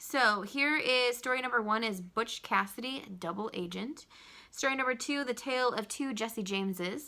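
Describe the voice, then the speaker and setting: The tone is bright and sharp. Pitch variation is ordinary. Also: woman. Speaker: junior high history teacher. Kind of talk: recorded video lesson for students. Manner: fast; casual, filler-heavy.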